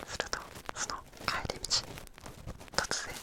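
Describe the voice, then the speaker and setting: Noticeable background noise fills the recording. Through it, a man whispers. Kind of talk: whispered storytelling reading of a folk tale with ear cleaning. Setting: binaural microphone, studio ASMR recording. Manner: whispered, close to the microphone.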